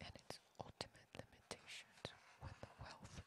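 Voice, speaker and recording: Someone whispers. The pace is fairly slow. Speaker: ASMR art narrator. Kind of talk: ASMR art book reading. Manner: whispered.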